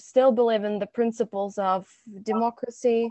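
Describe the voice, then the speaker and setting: A woman with a fairly high voice talks at a fairly slow pace in a flat, monotone way. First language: Russian or Belarusian. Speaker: student activist. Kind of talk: panel discussion.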